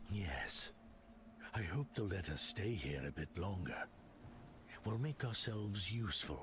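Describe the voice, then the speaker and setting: A man puts on a character voice at a fairly low pitch and moderate pace, with long, frequent pauses. Clear background noise sits behind him. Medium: video game.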